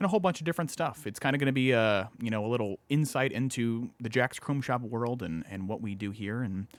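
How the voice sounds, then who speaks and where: Fairly quick speech with ordinary pitch variation comes through on a very clean recording with a silent background. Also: man. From US Midwest, Indiana. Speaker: podcast co-host and chrome shop owner. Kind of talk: casual live podcast chat. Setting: studio, live streamed video. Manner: casual, many fillers.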